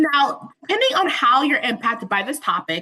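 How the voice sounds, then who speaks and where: The woman's voice is raised and projected, high in pitch, with a bright, sharp tone. She moves at a moderate pace, and her pitch swings very widely. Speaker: webinar presenter. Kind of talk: webinar presentation. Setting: online webinar with interpreters.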